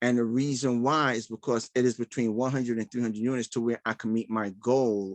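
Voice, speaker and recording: A man talks in a New York accent at a moderate pace. His intonation is monotone and flat against a quiet background. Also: dry, close sound with no echo. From Brooklyn, New York (Bed-Stuy). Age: 60s. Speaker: real estate investor. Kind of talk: live Q&A session. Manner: halting.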